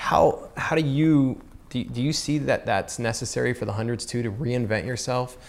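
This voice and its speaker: Featuring an unremarkable speaking voice, a man with an American accent speaks with ordinary pitch variation. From US South. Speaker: podcast host, skateboarder. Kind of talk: casual interview chat.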